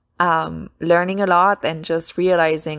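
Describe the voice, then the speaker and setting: The woman's pitch is very deep and low, and she speaks very slowly. The recording is very clean, with a silent background. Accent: French. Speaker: self-published author and podcast host. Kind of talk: casual solo podcast talk. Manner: halting, frequent self-corrections.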